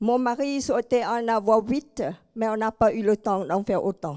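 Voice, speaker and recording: Recorded dry and close with no echo, a woman with a fairly high pitch and a dark, mellow tone speaks at a very slow pace with ordinary pitch variation. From Cambodia. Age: 70s. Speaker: inspirational speaker. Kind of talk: public talk.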